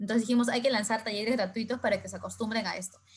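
Her voice is somewhat breathy, this woman's. She speaks at a fairly high pitch. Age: 20s. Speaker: entrepreneur. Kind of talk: interview.

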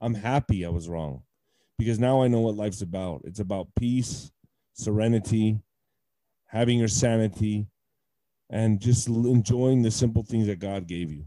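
A man with an American accent speaks in a dark, mellow tone at a fairly low pitch and moderate pace, with ordinary pitch variation and long, frequent pauses. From Texas, El Paso. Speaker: retired heavyweight boxer. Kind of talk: personal testimony in interview.

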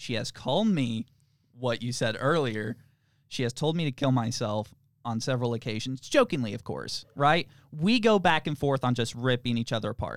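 This very clean recording has a silent background and a dry, close sound with no echo. A man with a plain, everyday voice speaks at medium pitch and a moderate pace, with ordinary pitch variation. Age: 20s. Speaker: podcast co-host. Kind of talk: casual chat. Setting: studio.

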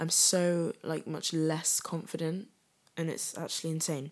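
Speaking with a British accent, this woman's voice sits fairly low in pitch. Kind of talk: casual solo chat. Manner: giggly, casual.

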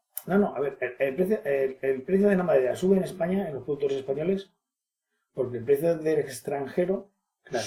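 Somewhat breathy, with a dark, mellow tone, a man speaks at a fairly quick pace. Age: 40s. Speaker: business manager. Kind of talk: interview. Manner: halting.

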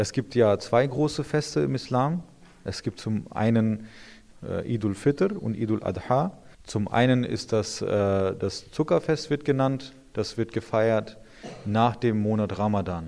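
A man speaks at a fairly slow pace in a dark, mellow tone. His pitch is medium and his intonation lively. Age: 30s. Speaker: imam. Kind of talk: interview answers explaining religion to children. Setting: inside a mosque.

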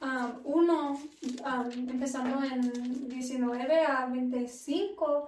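A woman with an English accent speaks at a very slow pace and a high pitch. Her intonation is fairly even, and room echo is audible. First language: English (speaking Spanish). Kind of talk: casual devotional chat.

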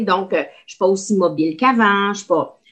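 This is a woman speaking. She keeps to a moderate pace. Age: 60s. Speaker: retired teacher. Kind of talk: casual chat.

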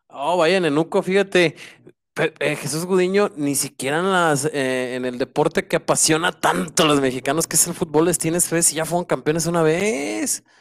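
On a very clean recording with a silent background and a dry, close sound with no echo, a man with an unremarkable speaking voice talks at a moderate pace in a fairly high pitch. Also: ordinary pitch variation. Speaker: basketball section commentator. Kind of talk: casual sports talk.

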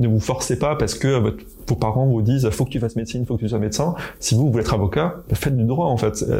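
Speaking at a very fast pace, a man keeps a medium pitch and lively intonation. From eastern France. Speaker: public health researcher. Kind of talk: testimony. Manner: halting.

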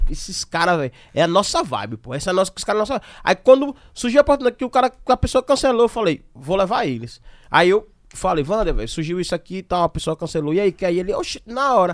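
A man's high-pitched voice with very wide pitch swings and a very fast pace, dry and close with no echo, on a very clean recording against a silent background. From Aracaju, Sergipe, Brazil. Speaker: podcast host. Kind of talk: casual chat.

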